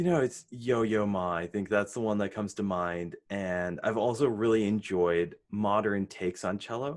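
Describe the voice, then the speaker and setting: An unremarkable speaking voice with an American accent moves at a moderate pace with hardly any pauses and ordinary pitch variation against a quiet background. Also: man, fairly low pitch for a man. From Connecticut, US. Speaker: entrepreneur. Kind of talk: interview.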